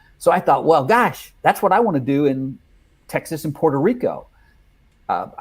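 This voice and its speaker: A man with a fairly high pitch and lively intonation speaks at a moderate pace, leaving long, frequent pauses, on a very clean recording with a silent background. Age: 60s. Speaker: life coach trainer and consultant. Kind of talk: casual chat.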